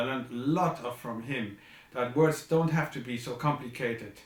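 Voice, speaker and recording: A man with a non-native accent speaks at a medium pitch and fairly even intonation, with audible room echo. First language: not English. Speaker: composer. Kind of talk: video message. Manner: halting.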